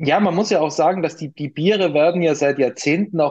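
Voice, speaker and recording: A man with a slight Austrian accent. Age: 40s. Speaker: craft brewery co-founder. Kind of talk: interview.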